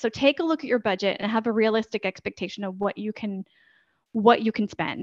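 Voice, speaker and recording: In a dry, close recording with no echo, a woman with an American accent and an unremarkable speaking voice talks at a fairly quick pace, her fairly high pitch moving with ordinary variation. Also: quiet background. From United States. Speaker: podcast editor and consultant. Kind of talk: interview conversation.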